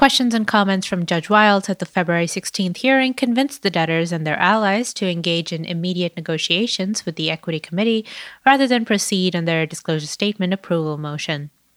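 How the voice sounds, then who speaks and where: With hardly any pauses, a woman talks at a very fast pace at medium pitch and with ordinary pitch variation, in a very clean recording with a silent background and a dry, close sound with no echo. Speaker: financial news podcast co-host. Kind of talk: news reading.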